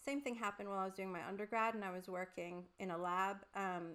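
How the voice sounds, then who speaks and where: A woman speaks at a fairly quick pace with an American accent, her pitch medium for a woman. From Puerto Rico. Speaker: career coach, former academic. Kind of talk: online masterclass presentation. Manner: animated.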